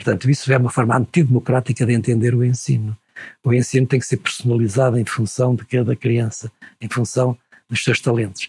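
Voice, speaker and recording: A somewhat breathy man's voice in a flat monotone, dry and close with no echo. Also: medium pitch for a man, fairly quick pace. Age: 70s. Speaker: retired university professor. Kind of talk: interview conversation.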